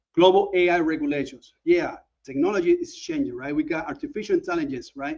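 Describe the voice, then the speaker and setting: With a Panamanian accent, a man talks at a fairly quick pace. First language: Spanish. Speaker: OSINT expert, conference speaker. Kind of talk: conference presentation. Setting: conference talk.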